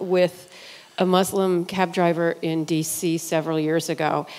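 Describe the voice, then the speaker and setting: Against noticeable background noise, a woman speaks with a fairly low pitch and fairly even intonation. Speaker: audience member. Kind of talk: audience question. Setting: church.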